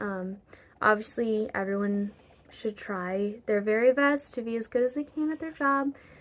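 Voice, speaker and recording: A woman speaks at a fairly slow pace in an ordinary speaking voice. Her pitch is fairly high, with ordinary variation. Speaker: vlogger. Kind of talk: personal vlog talk to camera. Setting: at home, raining outside.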